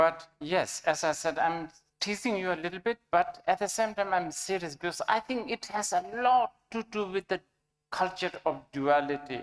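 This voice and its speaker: Lively in intonation, a woman with a medium pitch speaks at a fairly slow pace. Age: 60s. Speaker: Buddhist teacher. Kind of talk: dharma teaching with consecutive interpretation. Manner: halting.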